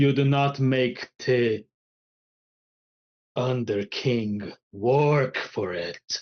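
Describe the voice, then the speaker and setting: In a put-on character voice, a man with a medium pitch and a resonant sound speaks very slowly, with long, frequent pauses. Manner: commanding, imposing.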